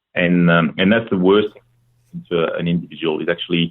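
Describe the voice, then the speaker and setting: A man with a French accent, his voice very deep and low, at a fairly quick pace. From France. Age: 30s. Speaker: former procurement practitioner. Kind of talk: podcast interview. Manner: halting, many fillers.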